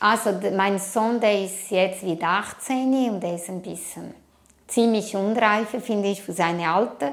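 A woman with a Portuguese accent speaks at a fairly slow pace and a medium pitch. Her pitch varies in an ordinary way, and the room echo is audible. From Brazil. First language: Portuguese (speaking German). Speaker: immigrant interviewee. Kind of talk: interview.

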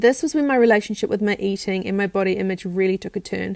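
A speaker with a New Zealand accent and ordinary variation in pitch. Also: woman. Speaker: self-care practitioner and nutrition coach. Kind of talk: personal storytelling monologue. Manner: talkative.

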